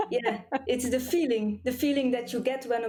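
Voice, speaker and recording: A woman with a Flemish accent speaks at a moderate pace in a high voice. Noticeable background noise runs behind her. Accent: Flemish Belgian. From Belgium, Flemish region (near Leuven and Mechelen). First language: Flemish (Dutch). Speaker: cranial sacral therapist. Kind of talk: interview.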